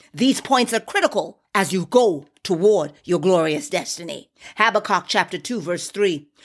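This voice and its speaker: Lively intonation from a woman at a medium pitch, her pace moderate. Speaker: preacher. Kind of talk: exhortative podcast sermon with scripture reading and call-and-response. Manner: fervent, rallying, urging listeners to repeat declarations; emphatic and repetitive, punctuated with amen and hallelujah.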